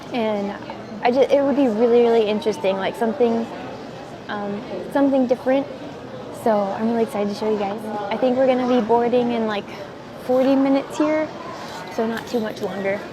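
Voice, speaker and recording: A woman with a fairly high pitch speaks at a fairly quick pace, with long, frequent pauses and fairly even intonation. Noticeable background noise and audible room echo surround her. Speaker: vlogger. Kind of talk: casual vlog monologue. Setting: airport. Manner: fast.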